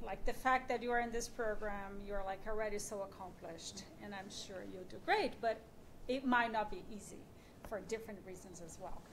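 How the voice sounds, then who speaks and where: A woman with a non-native accent, fairly high pitch, a fairly quick pace and big swings in loudness. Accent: foreign. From Brazil. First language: Portuguese. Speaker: radio journalist and podcast creator. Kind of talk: panel discussion.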